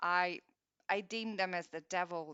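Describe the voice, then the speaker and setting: A woman speaks in a normal speaking voice at a fairly low pitch. Her intonation stays fairly even. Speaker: meditation guide. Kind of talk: guided meditation. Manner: gentle, calm.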